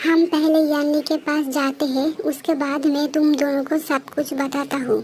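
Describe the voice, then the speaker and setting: A put-on character voice runs at a moderate pace with hardly any pauses and monotone, flat intonation, over clear background noise. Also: woman, high pitch for a woman. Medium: read story.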